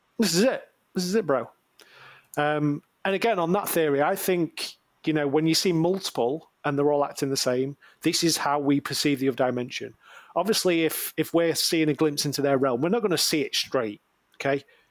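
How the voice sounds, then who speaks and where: A man with a fairly high pitch and ordinary pitch variation talks at a fairly quick pace in a northern English accent, his loudness very even throughout. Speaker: podcast co-host. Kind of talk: casual chat.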